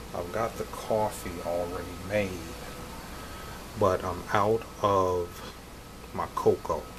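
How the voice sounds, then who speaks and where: A quiet man at a very slow pace, fairly low in pitch, with monotone, flat intonation, long, frequent pauses and noticeable background noise. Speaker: vlogger and online reseller. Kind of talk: casual vlog talk. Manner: talking quietly.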